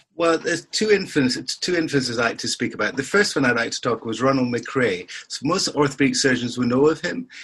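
At a fairly quick pace, a man speaks with lively intonation in a medium-pitched, fairly bright voice that has a slightly husky edge.

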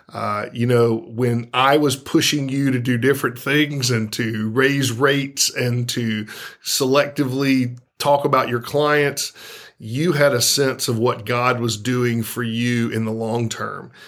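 An unremarkable speaking voice, this man's is medium-pitched, with an American accent, fairly even intonation and a fairly slow pace. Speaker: podcast co-host. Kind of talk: casual interview.

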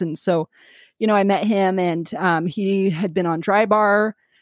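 A woman with an American accent has an ordinary speaking voice at a medium pitch and fairly even intonation. The sound is dry and close, with no echo. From Sacramento, California. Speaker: stand-up comedian. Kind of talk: casual interview. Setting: video call.

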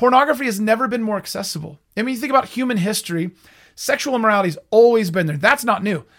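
This man talks very fast with lively intonation. His voice sits high in pitch. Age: 30s. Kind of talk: faith-based teaching monologue. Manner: halting, frequent repetitions and fillers.

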